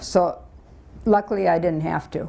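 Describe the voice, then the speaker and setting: A moderately paced voice with vocal fry, a dark, mellow tone and ordinary pitch variation. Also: woman. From Michigan, Detroit area. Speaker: retired teacher. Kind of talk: life story talk.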